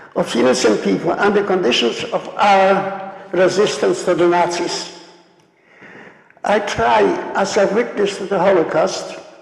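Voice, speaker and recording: A man speaks at a fairly slow pace with a high pitch and ordinary pitch variation. Audible room echo and noticeable background noise surround his voice. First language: Polish. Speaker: Holocaust survivor speaker. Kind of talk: lecture. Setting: stage with audience. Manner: halting.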